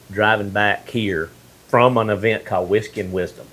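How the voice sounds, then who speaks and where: This man has a fairly low pitch and fairly even intonation. He speaks at a moderate pace. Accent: Mississippi. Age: 50s. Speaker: podcast host. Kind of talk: casual interview chat.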